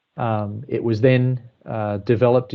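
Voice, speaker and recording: A man with an Australian accent, a fairly low pitch, and fairly even intonation. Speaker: water engineering consultant. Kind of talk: technical presentation. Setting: online call.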